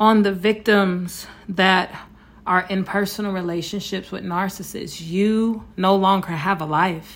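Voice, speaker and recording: A woman with an unremarkable speaking voice talks at a fairly slow pace, her pitch varying in an ordinary way. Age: 40s. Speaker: podcast host, abuse survivor. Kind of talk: solo monologue, personal testimony. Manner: frequent filler words (um, uh).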